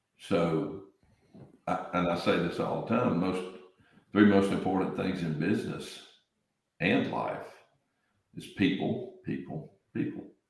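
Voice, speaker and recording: With an American accent and a very deep, low pitch, a man speaks at a fairly slow pace with ordinary pitch variation and long, frequent pauses, with audible room echo around him. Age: 60s. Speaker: real estate business owner. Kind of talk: podcast interview.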